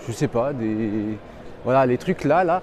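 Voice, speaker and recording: Ordinary pitch variation runs through a man's speech. His tone is animated. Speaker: gaming streamer. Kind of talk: live walkthrough stream. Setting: trade show floor. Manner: casual, animated; loud.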